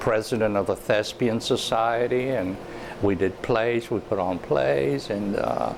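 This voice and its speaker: Over noticeable background noise, a man with a Spanish accent speaks at a fairly slow pace. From Cuba, then Miami, Florida from age ten. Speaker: theater artist. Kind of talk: interview. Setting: on camera interview.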